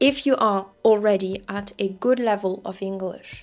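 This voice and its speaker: With music in the background, a woman speaks in a medium pitch. Her pace is fairly slow and her intonation fairly even. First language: French. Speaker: French teacher. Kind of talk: casual talk to camera.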